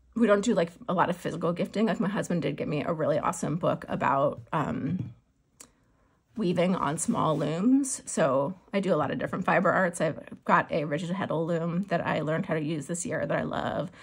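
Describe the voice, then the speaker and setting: Somewhat breathy, a woman talks at a fairly quick pace and a fairly low pitch with lively intonation. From US Pacific Northwest, Seattle. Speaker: crafting vlogger and teacher. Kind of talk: casual chat. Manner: fast; filler-heavy, halting.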